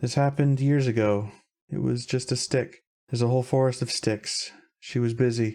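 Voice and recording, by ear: The background stays quiet. A natural voice reads aloud.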